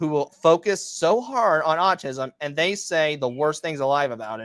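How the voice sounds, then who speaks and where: This is an unremarkable speaking voice from a man with a fairly high pitch. He talks at a moderate pace in a dry, close recording with no echo. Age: 20s. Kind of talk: casual interview.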